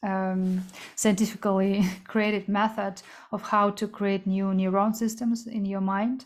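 On a very clean recording with a silent background, a woman of medium pitch talks at a fairly slow pace in a monotone, flat intonation. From Kazakhstan. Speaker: entrepreneur and coach. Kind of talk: interview.

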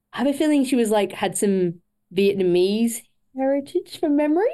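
A dark, mellow tone with very wide pitch swings. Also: woman. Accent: Australian. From Australia, Queensland. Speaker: para triathlete. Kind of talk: interview.

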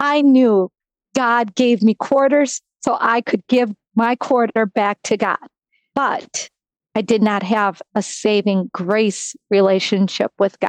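Speaking very slowly with an American accent, a woman holds a fairly high pitch with ordinary variation and very even loudness, in a dry, close sound with no echo. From US Midwest, Wisconsin. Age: 50s. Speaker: sports nonprofit executive. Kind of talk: testimony.

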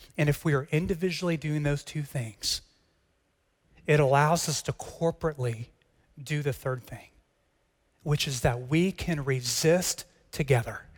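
A somewhat breathy man with an American accent talks at a fairly high pitch and a moderate pace, with ordinary pitch variation. He leaves long, frequent pauses, and the recording is very clean with a silent background. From Texas. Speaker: pastor. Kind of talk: sermon.

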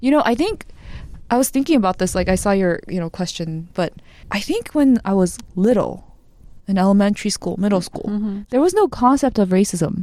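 A woman's medium-pitched, dark, mellow voice in an American accent, with lively intonation and a fairly quick pace. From Korea, raised in the US from childhood. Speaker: podcast guest. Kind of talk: casual chat.

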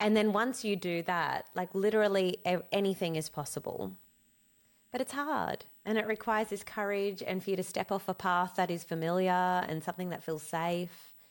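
Heard on a very clean recording with a silent background, a woman with an Australian accent talks at a moderate pace and medium pitch with ordinary pitch variation. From Australia, born in Cape Town. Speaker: business coach and social media entrepreneur. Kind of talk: interview. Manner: animated.

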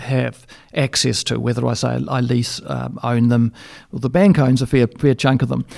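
A man speaks in an Australian accent at a medium pitch with ordinary pitch variation. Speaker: dairy consultant. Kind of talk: interview. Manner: halting, frequent repetitions.

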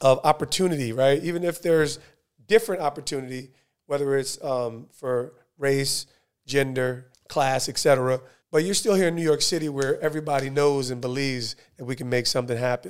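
A man speaks at a fairly quick pace in a fairly high pitch, with ordinary pitch variation. It is an ordinary speaking voice. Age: 40s. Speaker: podcast host, former pro football player. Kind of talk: casual interview.

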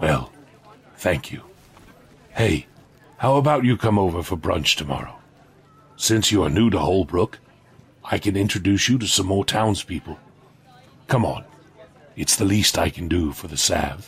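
Pausing long and often, a man speaks at a moderate pace with a fairly low pitch and lively intonation. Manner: warm, gently stern.

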